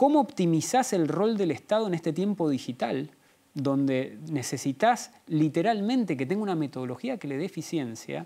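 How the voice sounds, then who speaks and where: With an Argentine accent, a man speaks at a moderate pace in a dark, mellow tone, his pitch swinging very widely. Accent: Rioplatense Argentine Spanish. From Argentina. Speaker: author and policy analyst; interview guest. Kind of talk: interview; interview answer. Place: studio. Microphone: lapel.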